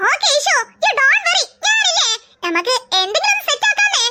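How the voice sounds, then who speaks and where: A squeaky, cartoonish character voice moves at a moderate pace. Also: woman, extremely high pitch for a woman. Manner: reassuring, upbeat.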